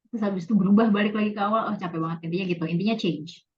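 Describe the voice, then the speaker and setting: A woman talks very fast. Her voice is somewhat breathy. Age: 20s. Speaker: office worker. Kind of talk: casual interview. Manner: casual, code-switching, many fillers.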